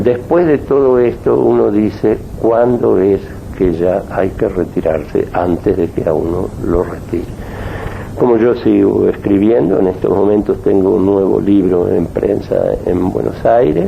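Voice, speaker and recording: Fairly slow male speech amid noticeable background noise. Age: 70s. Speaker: gynecologist and politician. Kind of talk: radio interview. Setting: at his home office.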